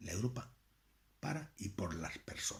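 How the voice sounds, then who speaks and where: A man speaks at a fairly slow pace in a strong Andalusian accent, his voice somewhat breathy and his intonation lively. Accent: thick Andalusian. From Andalusia, Spain. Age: 50s. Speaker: political commentator. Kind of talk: political lecture. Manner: conversational.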